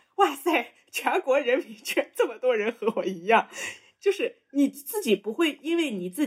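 A woman speaks with a Shanxi accent. Her intonation is lively. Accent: Shanxi-accented Mandarin. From Shanxi, China. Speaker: podcast co-host. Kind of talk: casual chat.

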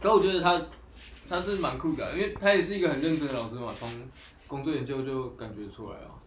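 At a very fast pace, a man speaks at a fairly high pitch with lively intonation and big swings in loudness, with audible room echo and noticeable background noise. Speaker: graduating university student. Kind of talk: casual chat.

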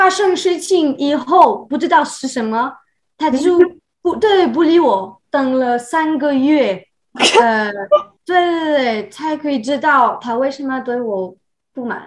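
Very slow speech with lively intonation in a French accent. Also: woman, high pitch for a woman. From France. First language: French (speaking Chinese). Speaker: expat professional. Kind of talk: casual interview. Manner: halting, many fillers.

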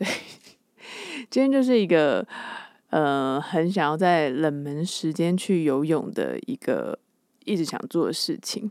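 With a fairly low pitch and very wide pitch swings, a woman speaks at a very slow pace with long, frequent pauses on a very clean recording with a silent background. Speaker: podcast host. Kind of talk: casual solo monologue. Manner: animated.

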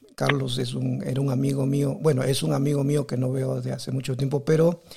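This man has a medium pitch. His intonation is monotone and flat. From Peru. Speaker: podcast host. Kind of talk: casual interview chat.

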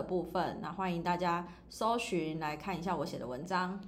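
A woman's fairly low voice at a moderate pace, with fairly even intonation and audible room echo. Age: 30s. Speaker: online shop owner and finance blogger. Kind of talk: casual chat. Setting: rented recording space.

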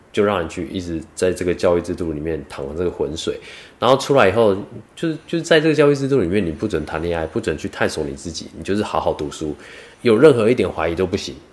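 Very fast and with very wide pitch swings, a man with a Taiwanese accent speaks in a very deep, low pitch. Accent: Taiwanese Mandarin. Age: 30s. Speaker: vlogger and part-time cook. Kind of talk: casual monologue vlog.

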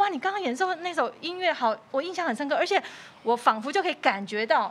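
Very wide pitch swings mark a woman speaking at a very fast pace. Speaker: podcast host, music teacher. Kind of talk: interview. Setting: studio.

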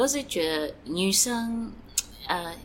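Audible room echo surrounds a woman whose medium-pitched voice makes very wide pitch swings. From Eswatini, then United States. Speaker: fashion brand founder. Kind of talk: interview. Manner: halting, with fillers.

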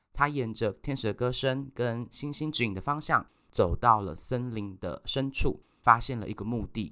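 A man with a bright, sharp tone talks at a moderate pace and medium pitch, barely pausing. His pitch varies in an ordinary way on a very clean recording with a silent background. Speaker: podcast host. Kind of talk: scripted narration; interview.

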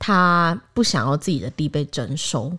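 Over a very clean recording with a silent background, a woman with a Taiwanese accent speaks at a fairly slow pace with lively intonation. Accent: Taiwanese Mandarin. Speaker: podcast host. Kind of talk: casual chat.

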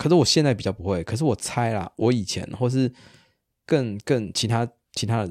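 A man talks fairly quickly in an ordinary speaking voice, medium in pitch with ordinary pitch variation. The recording is very clean and dry, close and without echo, over a silent background. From Taiwan. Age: 30s. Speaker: psychologist and podcast co-host. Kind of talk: casual chat.

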